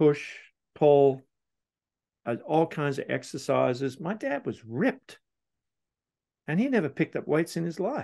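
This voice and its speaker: Against a quiet background, a man with a fairly high pitch and a dark, mellow tone speaks at a fairly slow pace with lively intonation and long, frequent pauses. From Australia, Sydney. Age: 60s. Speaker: business coach. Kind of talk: casual chat.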